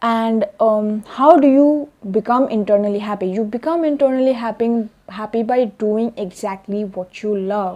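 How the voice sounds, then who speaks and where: With a non-native accent, a woman speaks at a moderate pace and a fairly high pitch. Her tone is dark and mellow, with ordinary pitch variation. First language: not English. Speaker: self-help vlogger. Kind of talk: vlog monologue. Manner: hesitant with fillers.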